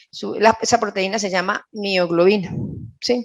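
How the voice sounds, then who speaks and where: A woman is speaking here. Her pitch is fairly high and her intonation fairly even. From Colombia, Caldas. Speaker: nutritionist. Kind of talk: lecture.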